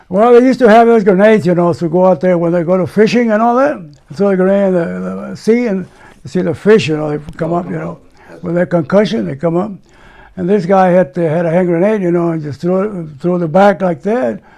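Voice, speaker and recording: Someone with an American accent talks at a very fast pace with ordinary pitch variation over noticeable background noise. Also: man, high pitch for a man. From United States. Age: 90s. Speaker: war veteran. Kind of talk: interview answer.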